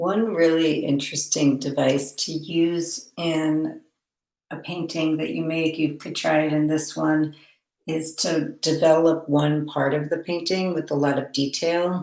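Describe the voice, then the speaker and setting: Soft-spoken and at a fairly slow pace, a woman speaks with a very deep, low pitch and monotone, flat intonation. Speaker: art teacher. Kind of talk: tutorial. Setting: art studio, online class.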